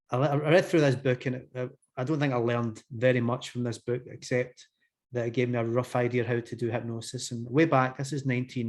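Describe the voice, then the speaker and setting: Fairly quick and fairly even in intonation, a man speaks at a medium pitch in a Glasgow accent. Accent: Scottish (Glasgow). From Scotland, Glasgow. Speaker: hypnotherapist. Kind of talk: interview conversation. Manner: hesitant, many fillers.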